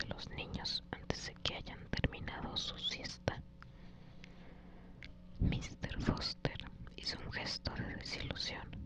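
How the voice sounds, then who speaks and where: Whispering in a calm tone at a very slow pace, the speaker leaves long, frequent pauses over noticeable background noise. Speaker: ASMR creator. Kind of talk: ASMR audiobook reading. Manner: whispered, soft, calm.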